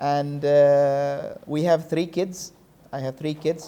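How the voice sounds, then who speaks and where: Fairly high-pitched male voice, dark and mellow in tone, with fairly even intonation. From Middle East. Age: 40s. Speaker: school talk show guest. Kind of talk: interview. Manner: halting.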